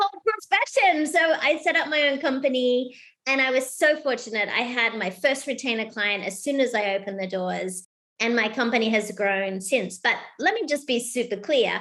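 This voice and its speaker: Animated and bright, sharp in tone, a woman with an Australian accent speaks at a high pitch with lively intonation. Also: moderate pace. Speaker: keynote speaker and author. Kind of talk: podcast interview.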